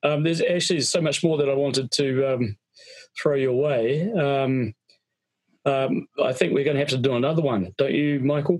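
The speaker has a plain, everyday voice, with very even loudness, ordinary pitch variation and a moderate pace. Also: man, fairly high pitch for a man. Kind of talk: casual chat. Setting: video call.

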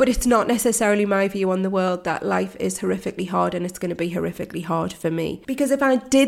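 This voice has vocal fry and a British accent. The pace is fairly quick. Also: woman. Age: 40s. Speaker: mindset coach. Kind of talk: solo podcast monologue.

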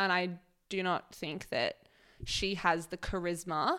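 Speaking with an Australian accent, a woman keeps a monotone, flat intonation at a fairly low pitch and a fairly slow pace. Her tone is bright and sharp, and the recording is very clean with a silent background. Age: 20s. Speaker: podcast co-host. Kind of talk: casual chat. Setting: home recording.

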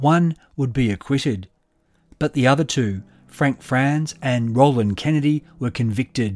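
Speaking with an Australian accent, a man at medium pitch moves at a fairly slow pace with ordinary pitch variation, on a very clean recording with a silent background. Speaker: podcast host and narrator. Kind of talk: true-crime narration, scripted storytelling in measured past tense. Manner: measured, steady, dramatic and suspenseful.

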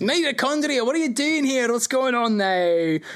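A booming, put-on character voice with a fairly high pitch at a moderate pace. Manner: surprised, questioning.

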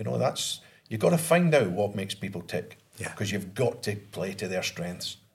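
Somewhat breathy and fairly quick, a man talks with lively intonation in a Scottish accent. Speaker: podcast co-host, ex-footballer. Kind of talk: casual chat.

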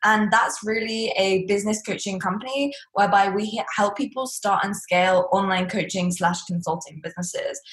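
Speaking at a medium pitch and a moderate pace, a woman with an English accent sounds somewhat breathy. Her pitch varies in an ordinary way. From England. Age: 20s. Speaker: entrepreneur and business coach. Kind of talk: interview. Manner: blunt, to the point.

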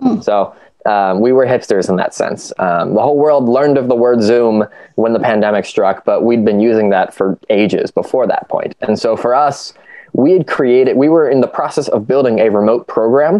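Speaking with a Midwestern American accent, a man holds a medium pitch, very even loudness, and ordinary pitch variation. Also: moderate pace. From US Midwest, Ohio. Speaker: youth nonprofit team member, educator. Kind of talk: casual chat.

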